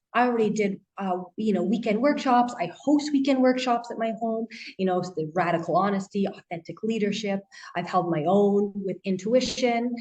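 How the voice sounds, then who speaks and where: A woman with a Canadian accent speaks at a moderate pace in a normal speaking voice, her pitch medium and its variation ordinary. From Canada. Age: 30s. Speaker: life coach and author. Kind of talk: interview.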